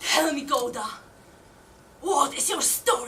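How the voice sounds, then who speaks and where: Pitched high, the woman's voice is a put-on character voice. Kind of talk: live theatre monologue.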